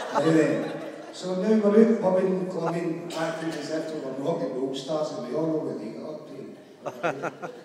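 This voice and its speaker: Noticeable background noise sits under a man's voice. He talks at a moderate pace with a fairly high pitch and ordinary pitch variation. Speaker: best man. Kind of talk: wedding speech. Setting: live room, hall.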